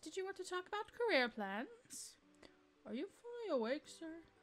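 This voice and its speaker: A woman does a put-on character voice at an extremely high pitch, with very wide pitch swings and a moderate pace. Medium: game stream. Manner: mild, vague.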